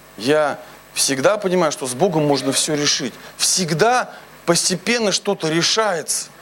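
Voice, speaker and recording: Over noticeable background noise, a man with a fairly high pitch speaks at a fairly slow pace with lively intonation. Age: 30s. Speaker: pastor. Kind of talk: sermon. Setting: church.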